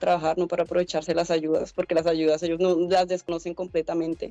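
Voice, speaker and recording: Over faint music in the background, a woman talks at a very fast pace in a dark, mellow tone with monotone, flat intonation. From Colombia. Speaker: head of a migrant support organization. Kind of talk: radio interview. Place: home room. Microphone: video call.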